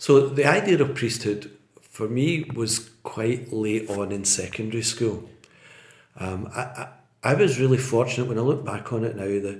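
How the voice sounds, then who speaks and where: Somewhat breathy, a man talks at a moderate pace and medium pitch with ordinary pitch variation, with audible room echo around him. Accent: west of Scotland. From Scotland, Port Glasgow (Inverclyde). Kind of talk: interview, casual chat. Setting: podcast. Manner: repeats words, hesitant fillers.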